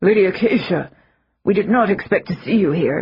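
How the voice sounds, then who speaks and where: A raspy, put-on character voice sits at a middle pitch. Its pace is moderate. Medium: read story. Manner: deferential.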